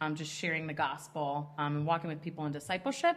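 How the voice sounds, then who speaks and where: This woman talks with a strong Midwestern accent. Background noise is noticeable throughout. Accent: strong Midwest. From Chicago suburbs, Illinois. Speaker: ministry leader. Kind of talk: podcast interview.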